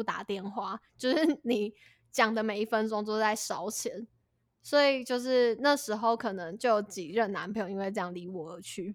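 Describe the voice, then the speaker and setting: Her fairly high pitch, an unremarkable speaking voice, ordinary pitch variation and a fairly quick pace mark this woman on a very clean recording with a silent background. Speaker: podcast co-host. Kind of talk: casual chat.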